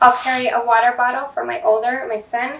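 A woman talks at a moderate speed while noticeable background noise carries on around her. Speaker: parent vlogger. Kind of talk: tutorial. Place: home room. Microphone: camera far.

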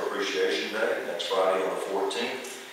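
The recording has strong room echo and light background noise. A man talks at a fairly quick pace. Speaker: city manager giving report. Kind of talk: formal report to council. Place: hall. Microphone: camera far.

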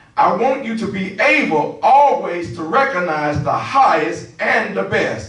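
Over audible room echo, a man speaks at a very slow pace with very wide pitch swings. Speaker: preacher at lectern. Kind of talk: scripture reading and prayer. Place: church.

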